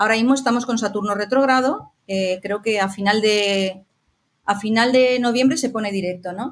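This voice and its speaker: Ordinary pitch variation marks an unremarkable speaking voice going at a moderate pace. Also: woman. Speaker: astrologer. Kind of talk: interview conversation.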